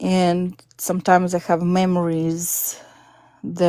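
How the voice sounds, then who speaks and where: A woman's fairly low voice at a very slow pace, with a Russian accent and fairly even intonation. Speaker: caller on spiritual live stream. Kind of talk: personal testimony.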